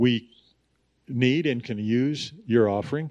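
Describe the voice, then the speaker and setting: The speaker is a man. The background is quiet. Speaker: pastor introducing speaker. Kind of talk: church announcements and introduction. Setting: church.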